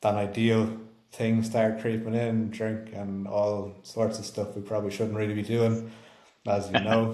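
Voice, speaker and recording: A man's dark, mellow tone in an Irish accent, with monotone, flat intonation. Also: fairly low pitch for a man, fairly slow pace. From Ireland. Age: 20s. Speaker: health and performance coach. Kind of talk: casual podcast talk.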